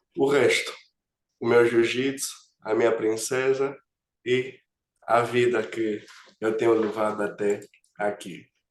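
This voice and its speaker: A man's medium-pitched, monotone, flat delivery at a very slow pace, with long, frequent pauses. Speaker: agile coach. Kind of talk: webinar presentation.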